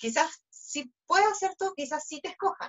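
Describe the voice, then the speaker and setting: With a Chilean accent, a woman speaks at a moderate pace with ordinary pitch variation. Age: 20s. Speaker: beauty pageant contestant. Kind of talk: interview.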